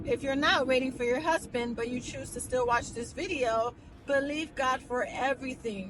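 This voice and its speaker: Noticeable background noise sits behind a woman speaking in a high pitch. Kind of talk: casual vlog. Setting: in a car. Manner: soft-spoken.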